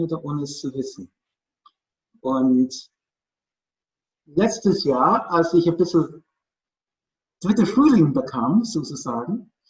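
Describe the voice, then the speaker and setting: Fairly slow, somewhat breathy speech with lively intonation. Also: man. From Northern Ireland. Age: 50s. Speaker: storyteller. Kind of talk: personal storytelling in German.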